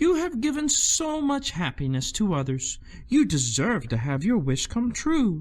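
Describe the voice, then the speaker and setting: In a put-on character voice, a man speaks at a moderate pace with a high pitch and a gentle tone. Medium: read story. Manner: soft, gentle.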